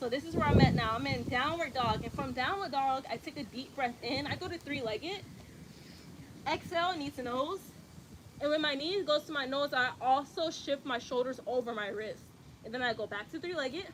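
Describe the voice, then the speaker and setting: A woman with an American accent speaks at a fairly quick pace, high in pitch with ordinary variation. Noticeable background noise can be heard. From US South, Atlanta, Georgia. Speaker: yoga instructor. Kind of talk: tutorial. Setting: outdoors, livestream. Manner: casual, conversational.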